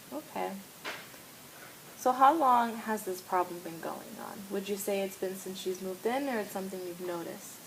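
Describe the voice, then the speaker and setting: A woman with an American accent, medium pitch, ordinary pitch variation and big swings in loudness, at a moderate pace over noticeable background noise. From New York, US. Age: 20s. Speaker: counseling student. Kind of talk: role-play counseling session.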